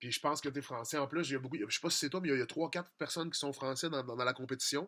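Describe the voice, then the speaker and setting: A man's bright, sharp voice with a strong Quebec accent, fairly high in pitch, with ordinary pitch variation. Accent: strong Québécois. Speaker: music producer and rap contest judge. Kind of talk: critique of contest entries. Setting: studio. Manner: fast; casual, conversational.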